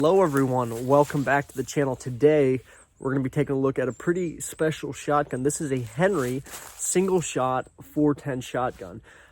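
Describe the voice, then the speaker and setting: This man's voice is fairly high and enthusiastic in tone. He moves at a moderate pace with ordinary pitch variation. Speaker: outdoors YouTuber reviewing firearms. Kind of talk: product review. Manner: casual, enthusiastic; a little loud.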